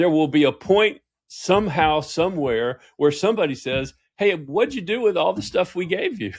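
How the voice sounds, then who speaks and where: A Southern US accent, lively intonation and a moderate pace. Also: man, high pitch for a man. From US South. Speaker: executive coach and author. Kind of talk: interview conversation. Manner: animated.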